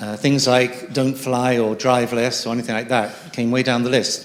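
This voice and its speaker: With noticeable background noise around him, a man speaks with an English accent. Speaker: audience member. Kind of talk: audience question.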